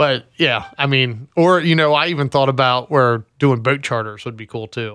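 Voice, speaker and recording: Here a man with an American accent talks at a moderate pace with hardly any pauses. His medium-pitched voice has a bright, sharp tone and ordinary pitch variation. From California. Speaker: podcast guest. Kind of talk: casual chat.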